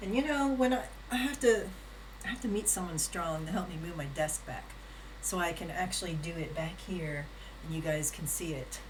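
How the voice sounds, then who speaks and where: At a moderate pace, a woman speaks amid audible room echo and noticeable background noise. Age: 60s. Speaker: live streamer. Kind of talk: casual live-stream chat with exercise demo. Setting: home live stream on camera. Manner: casual, chatty.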